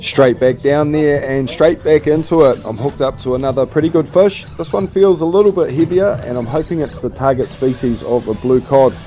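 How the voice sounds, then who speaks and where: Over music in the background, a man speaks at a fairly quick pace in a New Zealand accent, with ordinary pitch variation and hardly any pauses. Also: fairly high pitch for a man. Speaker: fishing vlogger. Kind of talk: voiceover narration.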